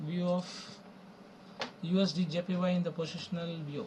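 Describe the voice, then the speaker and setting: Over noticeable background noise, a man with a high pitch and a non-native accent speaks at a moderate pace in a monotone, flat intonation. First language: not English. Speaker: forex trading educator. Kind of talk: tutorial. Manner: halting, with many fillers.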